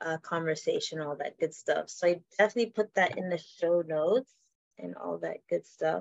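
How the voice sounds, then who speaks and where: A woman speaks at a moderate pace, recorded with a dry, close sound and no echo. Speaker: podcast host. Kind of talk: casual interview chat.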